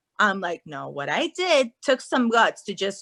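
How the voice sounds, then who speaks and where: A woman's raised, projected voice, bright and sharp in tone, with a dry, close sound and no echo. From Guatemala. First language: Spanish. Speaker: actress and life coach. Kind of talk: casual chat.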